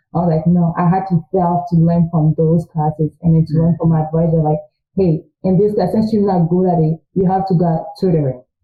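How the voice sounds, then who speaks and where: In a French accent, a woman talks at a fairly quick pace with a fairly low pitch and monotone, flat intonation. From Congo. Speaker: student. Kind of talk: interview.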